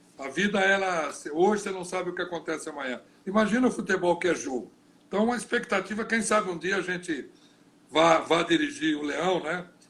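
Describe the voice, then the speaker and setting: Fairly quick, high-pitched speech from a man, with ordinary pitch movement. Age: 60s. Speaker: football coach and former player. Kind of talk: interview. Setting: live video stream.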